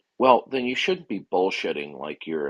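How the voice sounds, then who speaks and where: A man speaks at a fairly quick pace, his pitch swinging very widely. His voice carries vocal fry, and the sound is dry and close with no echo. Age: 60s. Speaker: online debate moderator. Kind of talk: heated debate. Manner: blunt, repetitive.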